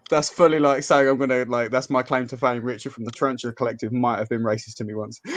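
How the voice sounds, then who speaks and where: The speech is very fast, with hardly any pauses. Background noise is noticeable. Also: man, medium pitch for a man, fairly even intonation. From Yorkshire, northern England. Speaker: tarantula YouTuber. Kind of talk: casual chat.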